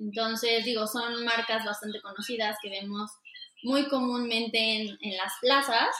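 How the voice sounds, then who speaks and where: At a fairly slow pace, a woman talks in a fairly high, monotone, flat voice. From Mexico City. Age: 20s. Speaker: fashion designer. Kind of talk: interview.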